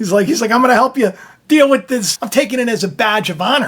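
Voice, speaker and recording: A loud man speaks in an animated tone with lively intonation. Noticeable background noise is present. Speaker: faith video host. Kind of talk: casual spiritual talk. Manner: animated, repetitive.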